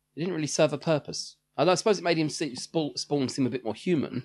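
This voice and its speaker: With vocal fry and lively intonation, the speaker talks at a very fast pace against a quiet background. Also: man. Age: 30s. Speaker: podcast co-host. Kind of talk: casual chat.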